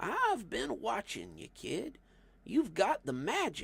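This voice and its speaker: In a gruff, strained, put-on character voice, a man speaks at a fairly slow pace with a high pitch for a man. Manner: knowing, mentoring.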